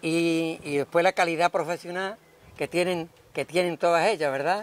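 The delivery is moderate in pace with fairly even intonation. The sound is dry with no echo. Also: man, high pitch for a man. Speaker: local TV interviewer. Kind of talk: interview question. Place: street.

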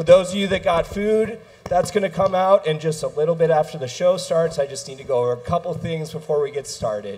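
High-pitched man at a fairly quick pace, ordinary pitch variation. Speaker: venue host making announcements. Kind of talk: event announcements to audience. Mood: warm, welcoming. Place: stage.

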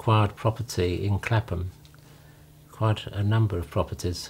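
Over light background noise, a man with an English accent speaks somewhat breathily at a fairly low pitch, with fairly even intonation and a moderate pace. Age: 70s. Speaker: retiree recounting his life story; interviewee. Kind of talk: memoir narration over photos. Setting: home. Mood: calm, reminiscing. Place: home room.

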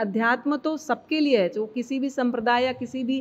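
A woman talks at a fairly slow pace in a high pitch. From India, Chhattisgarh (Durg); Chhattisgarh, India. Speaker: Jain lay preacher. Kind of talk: interview. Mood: calm, explanatory. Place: hall. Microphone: handheld.

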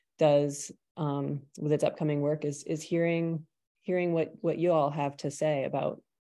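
A woman's voice in a flat monotone. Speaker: presenter. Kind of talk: meeting presentation talk. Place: home room. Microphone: video call.

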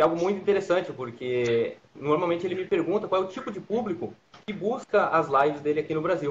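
This man speaks very fast in a high voice. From Brazil. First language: Portuguese. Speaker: trade school trainer and interpreter. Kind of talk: live stream chat and interpreting. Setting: video call. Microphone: video call.

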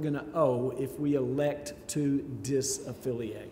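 Fairly slow speech with audible room echo and light background noise. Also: man. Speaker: church lay leader. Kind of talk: church business presentation. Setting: church. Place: church. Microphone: podium.

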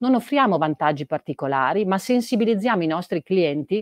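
Lively intonation and a fairly quick pace come through with a dry sound with no echo and a quiet background. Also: woman. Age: 40s. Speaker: chief digital officer at a retailer. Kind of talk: interview. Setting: live event in the metaverse. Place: office. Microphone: video call.

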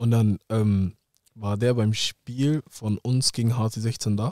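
A man's fairly low, dark, mellow voice holds a fairly even intonation against a quiet background, the sound dry with no echo. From Hamburg area, northern Germany; northern Germany. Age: 20s. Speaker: professional footballer; podcast guest. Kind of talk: casual interview. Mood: calm, reflective storytelling. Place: studio. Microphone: studio mic.

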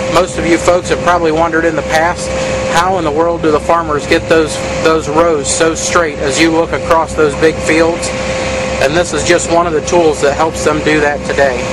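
A man talks at a moderate pace, his sound dry with no echo, despite loud background noise. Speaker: farm video host. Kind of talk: tour commentary. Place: farm machine. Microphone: phone near.

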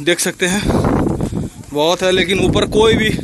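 A man talks at a moderate pace in a high voice. The sound is dry with no echo, over noticeable background noise. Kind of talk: casual vlog commentary. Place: open country. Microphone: phone near.

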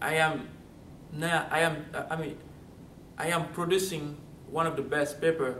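A man with a Central African accent speaks at a fairly slow pace and a fairly high pitch, using monotone, flat intonation and long, frequent pauses. Audible room echo and light background noise are present. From Gabon, Central Africa. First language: French. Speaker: college student. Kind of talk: testimonial interview answer. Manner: halting, many fillers. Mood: warm, grateful. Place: studio.

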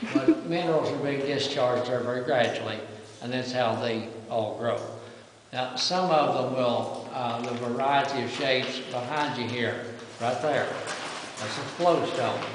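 A man talks at a fairly slow pace with fairly even intonation, over noticeable background noise and audible room echo. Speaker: cave tour guide. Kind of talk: guided tour explanation. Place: tunnel cave. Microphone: camera far.

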